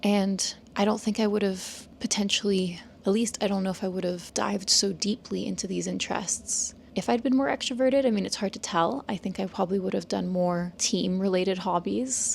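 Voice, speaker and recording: Somewhat breathy and medium in pitch, a woman speaks at a fairly quick pace with ordinary pitch variation. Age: 20s. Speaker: vlogger and design business owner. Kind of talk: casual vlog monologue. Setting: hotel room. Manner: soft-spoken.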